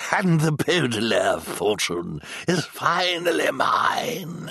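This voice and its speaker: A man's put-on character voice, high-pitched and cackling, at a very slow pace. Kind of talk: theatrical audiobook character voice. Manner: pompous, gloating, dramatic; cackling, bragging.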